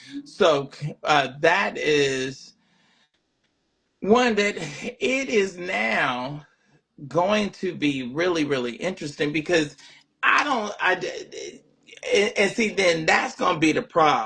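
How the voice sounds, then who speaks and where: A man with a high pitch and a bright, sharp tone speaks at a very slow pace. His pitch swings very widely, and he takes long, frequent pauses. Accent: Southern US. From US South. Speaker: livestream talk show host. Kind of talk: casual livestream monologue. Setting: live stream. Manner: halting, many repeated words.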